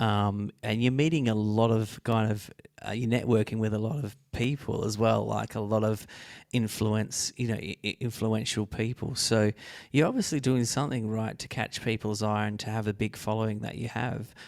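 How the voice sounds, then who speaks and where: With an Australian accent, a man talks at a fairly low pitch. His pace is moderate and his intonation fairly even. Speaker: podcast host. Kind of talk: interview.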